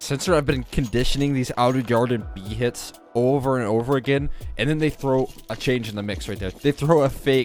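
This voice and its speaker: A man speaks at a fairly quick pace in a medium pitch, with an animated tone and ordinary pitch variation. Music plays in the background. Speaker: esports commentator / shoutcaster. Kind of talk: esports match commentary. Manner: animated, analytical play-by-play.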